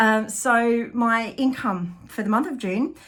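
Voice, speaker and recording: The speaker talks in an Australian accent with ordinary pitch variation. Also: woman. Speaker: artist and small business owner. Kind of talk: vlog monthly business update. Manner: halting, many fillers.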